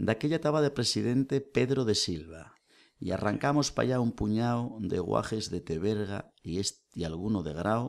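On a very clean recording with a silent background, a man speaks at a moderate pace and fairly low pitch with lively intonation. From Asturias, Spain (lower Nalón area). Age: 40s. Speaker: folk singer, nurse and oral tradition researcher. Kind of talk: casual chat. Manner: animated.

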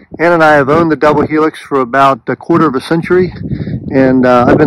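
Loud background noise surrounds a man talking at a very fast pace. The sound is dry with no echo. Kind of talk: casual tour narration. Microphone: phone near.

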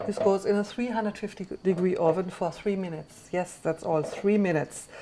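The speech moves at a moderate pace with fairly even intonation, and light background noise sits behind it. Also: woman. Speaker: cooking show host chef. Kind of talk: tutorial. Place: kitchen.

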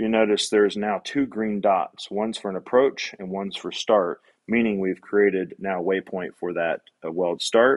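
An ordinary speaking voice from a man, fairly low and fairly even in intonation, at a moderate pace against a quiet background. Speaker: robot welding instructor. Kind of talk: tutorial. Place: workshop.

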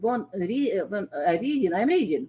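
A woman speaks very slowly in a fairly high voice, her pitch swinging very widely. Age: 70s. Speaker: Bible study participant. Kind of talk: Bible study discussion. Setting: video call. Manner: halting.

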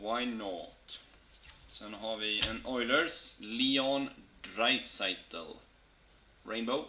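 A man speaking at a very slow pace, with long, frequent pauses, ordinary pitch variation and noticeable background noise. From Sweden. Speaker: hockey card box-break streamer. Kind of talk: live stream card opening chat. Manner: animated. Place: home room. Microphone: webcam.

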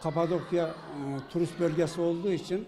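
A man talks with fairly even intonation while clear music sounds behind him. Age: 70s. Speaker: university student. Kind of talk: interview answer. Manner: hesitant. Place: classroom. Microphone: handheld.

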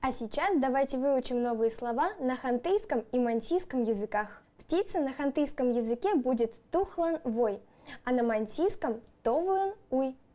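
Dark, mellow tone at a moderate pace, lively intonation and few pauses. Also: woman, high pitch for a woman.

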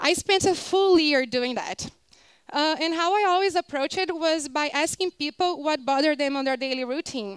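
A woman with a Portuguese accent and a high voice speaks at a moderate pace with ordinary pitch variation, in a dry sound with no echo against a quiet background. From Brazil, Rio de Janeiro. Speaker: designer and speaker; speaker. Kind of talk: conference talk. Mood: warm, upbeat.

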